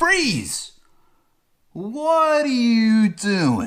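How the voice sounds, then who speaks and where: Someone uses a put-on character voice. It sits at a fairly high pitch. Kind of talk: authoritative. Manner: stern, commanding.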